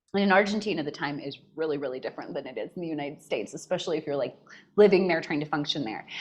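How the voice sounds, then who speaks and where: Speaking at a very fast pace, a woman has a very deep, low pitch and a Californian accent. Her pitch varies in an ordinary way. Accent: General American, Californian. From US West, northern California. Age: 40s. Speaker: mental health coach. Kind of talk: podcast interview. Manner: animated.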